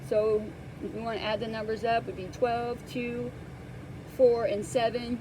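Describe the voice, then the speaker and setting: Fairly high-pitched woman at a moderate pace against noticeable background noise. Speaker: tarot reader. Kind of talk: tarot reading. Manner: halting.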